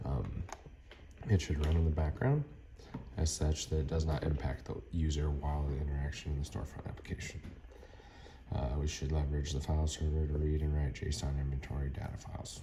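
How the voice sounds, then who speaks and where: Against noticeable background noise, a man with a very deep, low pitch and flat, monotone intonation talks at a fairly quick pace yet leaves long, frequent pauses. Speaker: student. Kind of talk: tutorial. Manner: fast.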